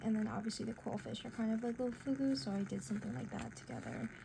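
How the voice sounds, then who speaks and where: Noticeable background noise sits behind the voice. A woman with a fairly high pitch speaks with lively intonation. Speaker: artist. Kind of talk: casual cozy art hangout talk. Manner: soft-spoken.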